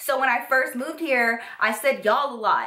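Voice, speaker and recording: With an American accent, a woman speaks at a fairly slow pace in an animated tone and ordinary pitch variation. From Texas. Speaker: YouTuber. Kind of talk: story time vlog. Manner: animated, casual.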